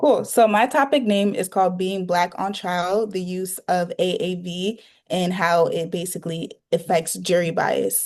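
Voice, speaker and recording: A woman with an American accent talks in a plain, everyday voice at medium pitch and a fairly slow pace, with ordinary pitch variation against a quiet background. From New York. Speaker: university student. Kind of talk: interview answer.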